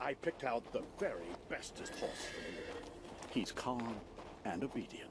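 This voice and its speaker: A man puts on a character voice at a medium pitch, talking at a moderate pace with long, frequent pauses over loud background noise. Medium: video game. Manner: friendly, warm.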